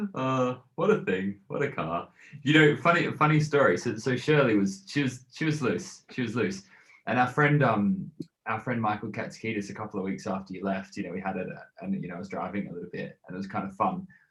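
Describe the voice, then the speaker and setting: Speaking at a fairly quick pace with an Australian accent, a man with a medium-pitched voice swings his pitch very widely. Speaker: podcast host. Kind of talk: casual chat.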